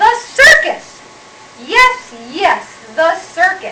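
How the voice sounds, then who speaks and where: Putting on a shrill, cackling character voice, a woman speaks at a very slow pace with extremely high pitch and very wide pitch swings. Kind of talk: children's picture-book read-aloud. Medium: read story.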